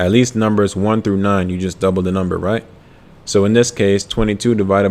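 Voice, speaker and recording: Fairly low in pitch, a man talks with fairly even intonation. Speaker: ASVAB tutor. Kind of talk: live-stream tutorial. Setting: live stream. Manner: slow.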